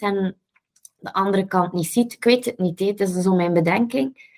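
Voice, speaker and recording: Very rapid delivery from a woman, pitched in the middle of her range, the pitch rising and falling in an ordinary way. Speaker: podcast host. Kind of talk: casual interview conversation.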